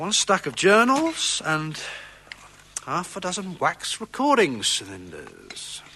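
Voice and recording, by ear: In a put-on character voice, the speaker goes at a slow pace with very wide pitch swings and a bright, sharp tone. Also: man, high pitch for a man.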